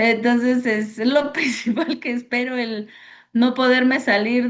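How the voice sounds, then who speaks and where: Very slow in pace, a woman talks in a high voice. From Mexico City. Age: 40s. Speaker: church member, student. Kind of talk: self-introduction in class.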